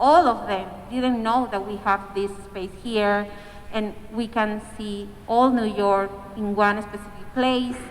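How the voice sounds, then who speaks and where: Over noticeable background noise and audible room echo, a woman with a Spanish accent speaks very slowly at a fairly high pitch. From Peru. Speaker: community organizer. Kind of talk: panel discussion.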